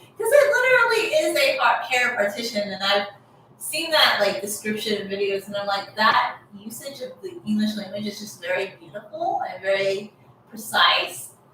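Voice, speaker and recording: Over noticeable background noise, a woman with an American accent speaks at a moderate pace in a fairly high voice, with lively intonation and big swings in loudness. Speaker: hair care vlogger. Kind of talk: casual story-time chat. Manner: conversational, many fillers.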